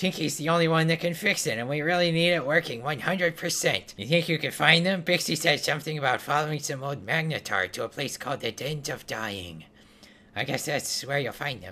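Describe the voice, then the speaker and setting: This man uses a put-on character voice. His pitch is fairly high for a man. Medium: game stream. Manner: chatty, busy, practical.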